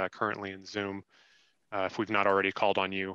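The sound is dry with no echo, over a quiet background. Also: man. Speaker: council staff managing public comment; council meeting staff moderator. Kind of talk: public meeting. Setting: video call. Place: office. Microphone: headset.

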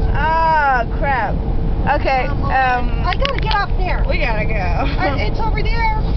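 The speech moves at a fairly slow pace. Loud background noise runs behind it. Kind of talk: casual vlog chat. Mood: excited, nervous, laughing. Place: car. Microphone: camera far.

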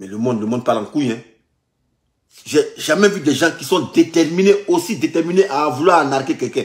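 Long, frequent pauses break up a man's moderate pace and lively intonation. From Ivory Coast. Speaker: vlogger recounting scam calls. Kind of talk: heated phone argument. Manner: repetitive, exasperated. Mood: indignant, mocking. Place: home room. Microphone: phone near.

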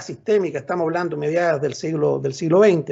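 A man with a high pitch talks at a very fast pace over a quiet background. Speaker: professor. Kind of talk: lecture. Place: home room. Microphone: video call.

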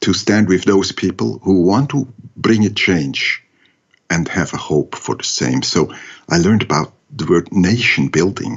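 A man's very deep, low voice with vocal fry, lively intonation, and a fairly slow pace. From Switzerland. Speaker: entrepreneur and education expert. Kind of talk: interview.

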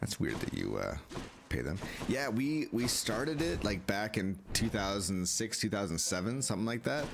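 Over noticeable background noise, a man with a fairly low pitch speaks at a fairly slow pace with lively intonation. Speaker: gaming streamer. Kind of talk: live gameplay commentary. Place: home room.

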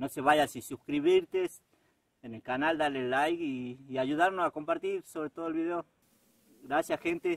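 A man with a fairly high voice speaks at a moderate pace, his pitch moving in an ordinary way. His loudness swings widely, and the sound is dry and close with no echo. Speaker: vlogger. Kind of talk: vlog walking tour narration. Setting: outdoors. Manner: halting, with many fillers and repetitions.

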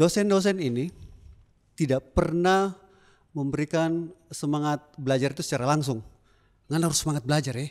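A man speaks at a fairly quick pace in an animated tone against a quiet background. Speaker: alumnus doing stand-up comedy. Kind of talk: stand-up comedy. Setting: stage with audience. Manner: animated, jokey, chatty, with audience interaction and laughs. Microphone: handheld.

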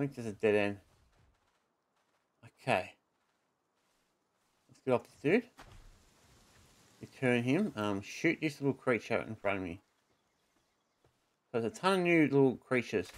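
At a moderate pace, a man speaks at medium pitch with lively intonation, big swings in loudness and long, frequent pauses. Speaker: gaming YouTuber. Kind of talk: gameplay commentary. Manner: louder than usual. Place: home room.

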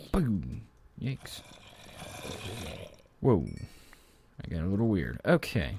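A man speaks very slowly with vocal fry and very wide pitch swings. The sound is dry with no echo, over light background noise. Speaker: gaming let's play host. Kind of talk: casual gameplay commentary.

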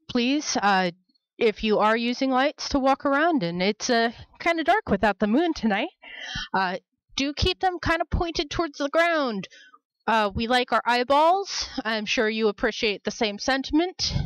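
Against a quiet background with a dry sound and no echo, a woman speaks at a moderate pace in a high-pitched voice. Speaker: event host. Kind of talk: welcome announcements to an audience. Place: hall.

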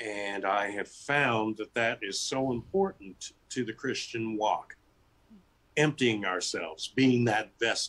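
A man with an American accent at a very slow pace, with ordinary pitch variation. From US West Coast. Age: 60s. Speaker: author and teacher; teacher. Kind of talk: interview. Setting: video call. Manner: animated. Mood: warm, reflective. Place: home room. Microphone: video call.

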